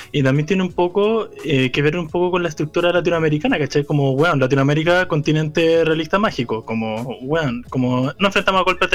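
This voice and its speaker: A man with a Chilean accent speaks at a fairly quick pace and a fairly high pitch. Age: 20s. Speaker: podcast co-host. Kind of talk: casual chat.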